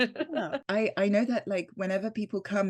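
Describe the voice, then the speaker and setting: With a French accent, a woman speaks at a moderate pace with ordinary pitch variation. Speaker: actress. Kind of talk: interview. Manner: halting.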